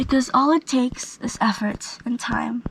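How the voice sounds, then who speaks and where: A woman speaks at a fairly slow pace with a high pitch and ordinary pitch variation. Noticeable background noise runs under her voice. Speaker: vlogger. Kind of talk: casual vlog monologue.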